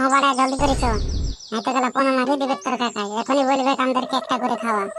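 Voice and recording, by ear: A high-pitched cartoonish character voice goes at a fairly quick pace over clear background noise.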